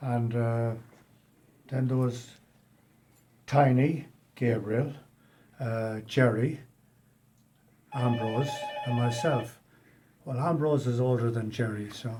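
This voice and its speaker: Speaking at a very slow pace, a man leaves long, frequent pauses. His medium-pitched voice has fairly even intonation, and audible room echo surrounds it. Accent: American. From Ireland, Westport, County Mayo. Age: 70s. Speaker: emigrant carpenter. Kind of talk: interview. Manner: halting.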